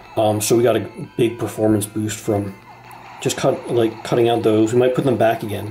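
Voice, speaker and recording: Music plays behind this man as he talks at a moderate pace. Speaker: game developer. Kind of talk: casual game demo talk. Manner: hesitant, many fillers.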